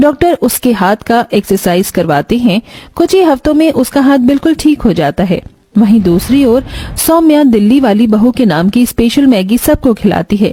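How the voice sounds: A woman talks at a moderate pace with few pauses and lively intonation. Her fairly high voice has a dark, mellow tone and a slightly husky edge.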